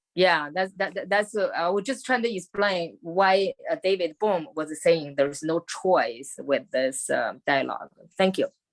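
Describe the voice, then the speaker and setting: With a Chinese accent, a woman speaks at a medium pitch and a fairly slow pace with lively intonation and hardly any pauses, in a dry, close sound with no echo. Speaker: discussion participant. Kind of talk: group discussion. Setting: video call. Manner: halting.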